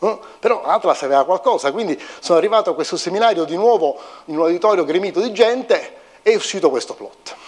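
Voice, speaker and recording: A man with a high pitch talks at a very fast pace with lively intonation, set against a quiet background. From Italy. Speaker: physics professor and CERN researcher; physicist giving public lecture. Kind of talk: public lecture. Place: hall.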